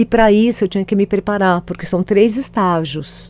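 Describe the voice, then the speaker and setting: The woman's tone is dark and mellow. She talks at a moderate pace. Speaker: author and storytelling expert. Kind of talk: casual interview.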